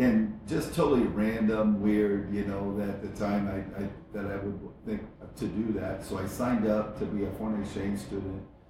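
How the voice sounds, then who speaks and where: With an American accent, a man talks in a fairly low pitch and fairly even intonation, with audible room echo and noticeable background noise. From Iowa, US Midwest (small town). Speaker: entrepreneur, coffee company founder. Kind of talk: interview.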